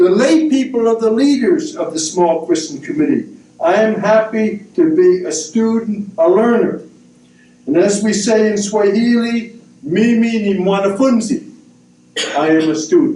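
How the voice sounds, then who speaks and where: A man with an American accent talks at a fairly slow pace in a high voice with very wide pitch swings, with audible room echo around him. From US. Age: 70s. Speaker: missionary priest. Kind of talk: prepared talk at a book discussion. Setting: university event with audience.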